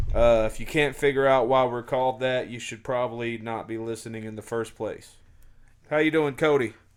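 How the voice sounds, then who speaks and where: On a very clean recording with a silent background, a loud man speaks at a fairly quick pace and medium pitch with fairly even intonation. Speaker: podcast host. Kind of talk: casual chat. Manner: halting, many fillers.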